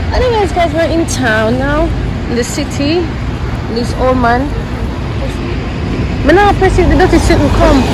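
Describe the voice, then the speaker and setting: Loud noise fills the background of a dry recording with no echo. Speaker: vlogger filming. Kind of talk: casual vlog chat. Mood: playful, teasing. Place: street. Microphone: phone near.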